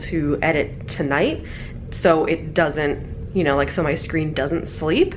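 Light background noise sits under a woman speaking at a moderate pace with a fairly low pitch. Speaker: travel vlogger. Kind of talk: casual vlog chat. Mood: relaxed, slightly sleepy. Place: home room. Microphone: phone near.

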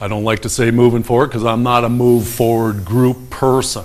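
The man talks at a moderate pace. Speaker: town crier, local commentator on city council matters. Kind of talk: casual opinionated rant to camera about local politics. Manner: frustrated, complaining. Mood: exasperated, complaining. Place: studio.

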